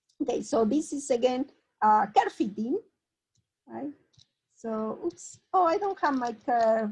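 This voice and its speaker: A woman with a Spanish accent, high-pitched, at a very slow pace. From Argentina. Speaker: mathematician. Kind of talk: lecture. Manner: halting.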